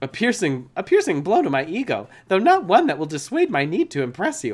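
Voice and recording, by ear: A man puts on a character voice, pitched high and delivered at a fairly quick pace.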